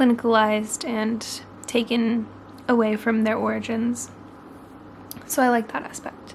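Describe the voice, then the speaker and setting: With an American accent, this speaker goes at a fairly slow pace, leaving long, frequent pauses. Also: woman, fairly high pitch for a woman. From Oregon, US. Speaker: book vlogger. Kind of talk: vlog to camera. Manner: quiet, hushed; casual, filler-heavy.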